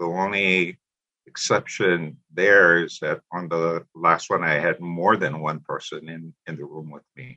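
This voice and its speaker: With a Hawaiian accent, a man speaks at a very deep, low pitch and a fairly slow pace, his tone bright and sharp, his intonation fairly even and his loudness swinging widely. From Hawaii, Molokai. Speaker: retired teacher and spiritual practitioner. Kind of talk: interview, personal story.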